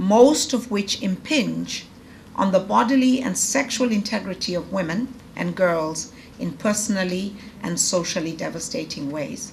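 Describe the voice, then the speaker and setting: In a room with audible echo, a woman speaks at a medium pitch and moderate pace with lively intonation. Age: 50s. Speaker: professor. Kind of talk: lecture. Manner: conversational with fillers and false starts; formal, read from prepared text.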